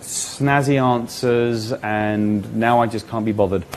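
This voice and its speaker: With an English accent, a man speaks at a medium pitch with ordinary pitch variation while noticeable background noise runs underneath. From England. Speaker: magician. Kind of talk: interview. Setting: live online event.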